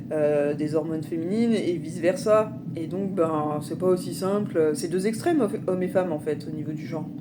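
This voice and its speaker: The recording has audible room echo and noticeable background noise. A woman with a fairly low pitch speaks at a moderate pace. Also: ordinary pitch variation. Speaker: spiritual vlogger. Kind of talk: personal testimony vlog. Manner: halting, many fillers.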